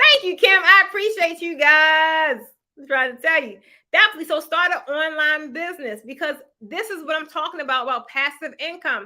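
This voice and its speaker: A woman speaks at a fairly quick pace in an animated, bright, sharp, raised and projected voice at an extremely high pitch, with ordinary pitch variation and big swings in loudness. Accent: American. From Baltimore, Maryland, US. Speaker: online business coach and YouTuber. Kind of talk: livestream motivational talk. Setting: live stream.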